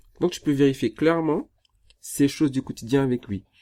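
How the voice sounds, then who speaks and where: A man with a fairly high pitch and a dark, mellow tone is captured in a very clean recording with a silent background, the sound dry and close with no echo. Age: 30s. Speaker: relationship coach. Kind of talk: live stream Q&A. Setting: Instagram live.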